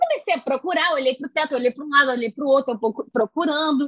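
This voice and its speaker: A woman talks at a very fast pace. She has a strong Carioca accent. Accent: strong Carioca Brazilian Portuguese. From Rio de Janeiro, Brazil. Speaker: poet and singer. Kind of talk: casual chat.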